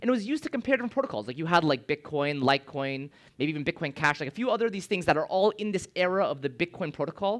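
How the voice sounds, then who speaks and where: Very fast and high-pitched, a man talks with lively intonation on a very clean recording with a silent background. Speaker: conference speaker, blockchain developer. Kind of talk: conference talk. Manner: casual, filler-heavy.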